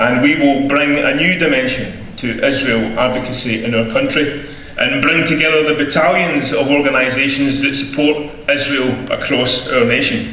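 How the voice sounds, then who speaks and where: A man with a Scottish accent and a fairly high pitch speaks at a moderate pace with hardly any pauses, amid audible room echo and noticeable background noise. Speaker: advocacy group director. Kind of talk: rally speech. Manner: animated.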